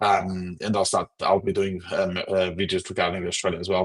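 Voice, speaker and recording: In a Portuguese accent, a man with very deep, low pitch talks at a moderate pace in a dry, close sound with no echo. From Portugal. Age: 40s. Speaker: political commentator livestreamer. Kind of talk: livestream commentary reading chat comments. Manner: halting, repeats words.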